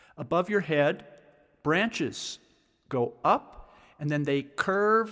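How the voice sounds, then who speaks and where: A man speaks at a fairly high pitch in a calm tone with lively intonation and a very slow pace. The recording is very clean, with a silent background. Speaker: sound healing teacher. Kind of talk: guided instruction, meditation-style grounding exercise. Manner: calm, slow, instructional.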